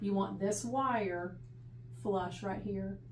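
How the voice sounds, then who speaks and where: The woman's voice carries audible room echo. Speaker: audiologist fitting hearing aids. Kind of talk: instructional explanation to a patient.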